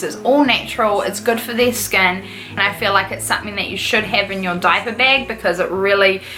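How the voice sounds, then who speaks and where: Speaking at a fairly quick pace in a New Zealand accent, a woman is heard with audible room echo and noticeable background noise. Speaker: YouTuber, mother. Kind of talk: casual vlog chat. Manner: fast; animated.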